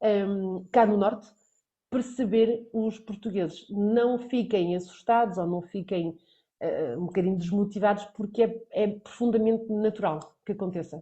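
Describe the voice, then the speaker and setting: A woman talks at a fairly slow pace with fairly even intonation. Her voice is somewhat breathy. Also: medium pitch for a woman. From central Portugal. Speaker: Portuguese language teacher. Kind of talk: online lesson.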